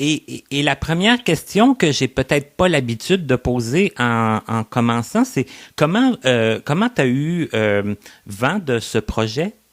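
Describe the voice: A man speaks at a medium pitch. His pitch swings widely. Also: fairly slow pace.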